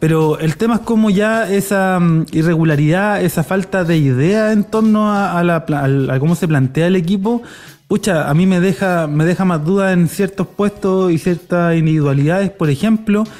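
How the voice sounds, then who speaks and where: Pitched high, a man speaks at a moderate pace with hardly any pauses. His loudness holds very even, and his pitch shifts in the usual way. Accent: Chilean. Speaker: football podcast host. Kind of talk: casual chat; reading listener comments. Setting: recording live on a street.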